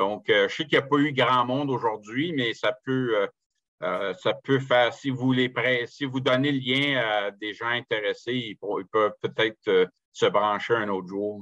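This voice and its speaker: A man talks at a fairly slow pace and medium pitch, with ordinary pitch variation. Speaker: author and amateur historian. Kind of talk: online lecture with Q&A. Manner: halting, many hesitations and repetitions.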